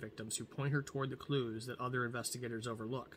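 A somewhat breathy man at a very fast pace with fairly even intonation over light background noise. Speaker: book vlogger. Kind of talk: reading a book blurb aloud. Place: home room. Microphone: webcam.

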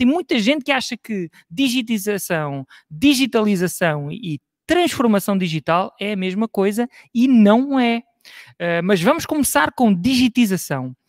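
A man speaks fairly slowly in a high voice with very wide pitch swings. The sound is dry with no echo, over a quiet background. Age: 40s. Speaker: IT strategy advisor; conference speaker. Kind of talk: lecture. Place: home room.

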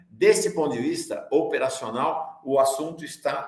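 There is audible room echo as a man speaks at a fairly slow pace with ordinary pitch variation. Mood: serious explanatory. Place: home room.

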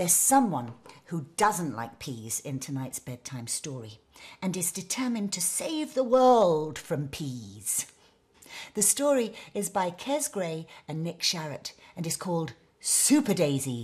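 A woman with a fairly low pitch and very wide pitch swings, somewhat breathy, gentle and warm in tone, at a fairly slow pace. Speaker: bedtime story presenter. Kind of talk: bedtime story reading aloud for children, with character voices. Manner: gentle, warm and playful, with animated character voices and sound effects; slow, soothing pacing, with dramatic emphasis on words.

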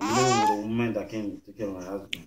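At a fast pace, a man speaks in a fairly low pitch. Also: fairly even intonation.

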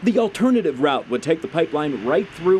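A man's lively intonation in an American accent, with noticeable background noise. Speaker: television news reporter. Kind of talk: TV news reporter package and live stand-up.

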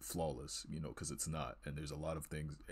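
A man speaks quietly with a very deep, low pitch. Vocal fry runs through his voice. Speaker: art student and video creator. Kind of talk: casual art tutorial walkthrough. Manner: halting, many fillers and repeated words; kept quiet to avoid waking others.

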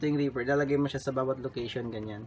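The speaker talks at a very fast pace. Light background noise can be heard. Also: man. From Philippines. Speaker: electronics hobbyist; electronics hobbyist demonstrating project. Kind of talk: tutorial. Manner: halting. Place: home room. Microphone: phone near.

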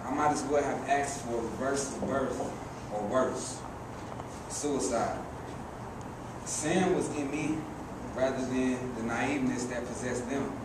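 A man talks at a fairly slow pace with long, frequent pauses. Room echo is audible, along with noticeable background noise. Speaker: poet performer. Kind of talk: spoken word poetry performance. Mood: serious, reflective. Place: stage. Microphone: camera far.

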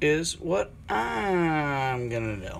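The man speaks at a very slow pace. There is light background noise. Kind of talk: tutorial. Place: kitchen. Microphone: phone near.

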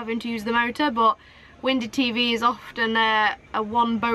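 A woman talks at a high pitch. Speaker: sailing vlogger. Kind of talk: casual vlog chat. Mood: relaxed, chatty. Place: boat. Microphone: phone near.

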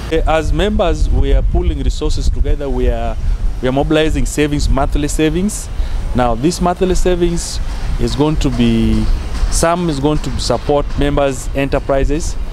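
At a moderate pace, the voice sounds dry with no echo and holds a very even loudness over noticeable background noise. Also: man. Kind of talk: interview answer. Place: garden.

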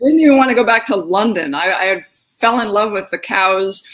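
The tone is fairly bright. The pace runs fairly quick. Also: woman, medium pitch for a woman, lively intonation.

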